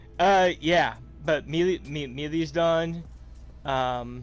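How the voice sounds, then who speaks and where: With music playing behind him, a man speaks at a very slow pace. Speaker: gaming streamer. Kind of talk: gameplay tutorial. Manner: halting, many fillers.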